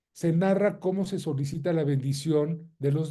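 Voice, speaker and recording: In a somewhat breathy voice with a dark, mellow tone, a man speaks at a moderate pace with a fairly high pitch and fairly even intonation. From Mexico. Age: 60s. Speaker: lawyer and lecturer. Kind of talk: lecture.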